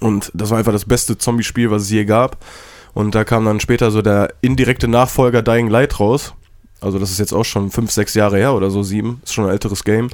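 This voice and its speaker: Speaking fairly quickly with monotone, flat intonation, a man with a fairly low pitch is captured on a very clean recording against a silent background. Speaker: podcast co-host and streamer. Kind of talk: casual chat.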